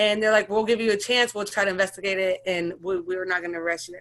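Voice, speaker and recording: A woman with an American accent, medium pitch, fairly even intonation and a fairly quick pace. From Sacramento, California. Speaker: interviewee sharing personal story. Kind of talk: interview testimony. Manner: fast; hesitant, many fillers.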